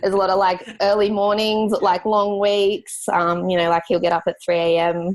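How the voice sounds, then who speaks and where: A woman with an Australian accent, a moderate pace and fairly even intonation. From Australia, rural New South Wales (Grafton). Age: 20s. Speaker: graphic designer, business owner. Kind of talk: podcast interview. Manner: casual, many fillers.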